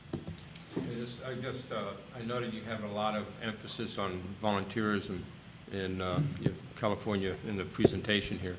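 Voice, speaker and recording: A man with a fairly low pitch speaks at a moderate pace with fairly even intonation, amid noticeable background noise and audible room echo. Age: 60s. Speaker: advisory board member. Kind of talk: public meeting discussion. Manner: halting.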